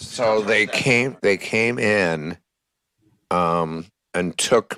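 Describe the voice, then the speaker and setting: A man's loud, very deep, low voice with a bright, sharp tone and lively intonation. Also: dry, close sound with no echo. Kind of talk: casual chat.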